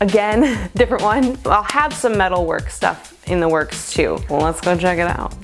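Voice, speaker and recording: Music plays in the background. Over it, a woman talks with lively intonation. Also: medium pitch for a woman, moderate pace. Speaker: potter and artist. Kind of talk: casual talk to camera.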